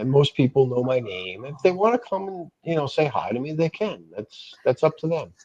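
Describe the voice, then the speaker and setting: Speaking at a moderate pace with hardly any pauses, a man uses a fairly high pitch with very wide pitch swings, in a dry, close sound with no echo. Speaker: live streamer. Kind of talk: casual chat. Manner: halting.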